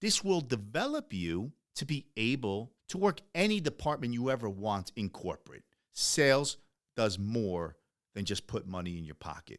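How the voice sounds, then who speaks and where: A man speaks in an animated tone at a moderate pace, his medium pitch making very wide swings. The recording is very clean, with a silent background. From US, Ecuadorian immigrant family. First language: Spanish. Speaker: podcast host, entrepreneur. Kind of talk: motivational podcast monologue. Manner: animated, conversational.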